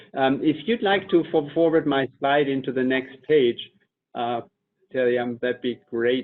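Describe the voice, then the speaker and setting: A man with a German accent, fairly high in pitch, at a fairly slow pace with ordinary pitch variation. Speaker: company executive. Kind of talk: webinar presentation.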